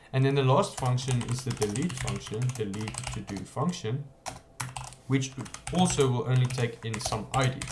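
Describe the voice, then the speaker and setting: Noticeable background noise runs under speech delivered at a moderate pace with ordinary pitch variation. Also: man, medium pitch for a man. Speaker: programming tutorial creator. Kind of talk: coding tutorial.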